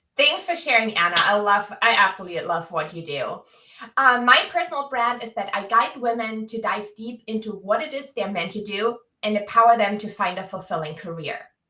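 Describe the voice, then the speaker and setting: Bright and sharp, a woman's voice sits fairly high in pitch. She moves at a fairly quick pace with lively intonation. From Germany. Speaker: career coach. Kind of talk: live webinar chat. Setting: video livestream. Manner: animated.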